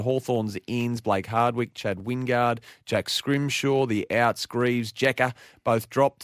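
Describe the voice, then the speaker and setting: With an Australian accent, a man speaks at a fairly slow pace and medium pitch in a very clean recording with a silent background and a dry, close sound with no echo. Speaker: sports radio host. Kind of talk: sports preview chat. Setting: radio studio.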